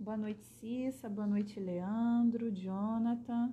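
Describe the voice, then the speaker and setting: With a Rio de Janeiro accent, the voice has a dark, mellow tone and fairly even intonation. The pace is very slow. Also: woman. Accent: Carioca Brazilian Portuguese. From Brazil, Rio de Janeiro. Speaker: spiritist speaker. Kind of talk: livestream talk. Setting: live online broadcast.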